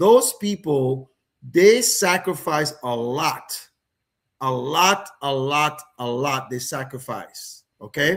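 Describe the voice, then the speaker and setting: Very slow in pace, a man speaks with lively intonation. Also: fairly high pitch for a man. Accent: Caribbean. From Dominica, Caribbean. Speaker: financial services host. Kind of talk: live stream talk.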